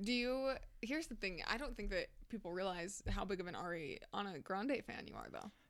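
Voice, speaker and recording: At a moderate pace, a woman with medium pitch and lively intonation talks in an unremarkable speaking voice. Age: 20s. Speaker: podcast co-host. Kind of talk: casual chat. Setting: studio.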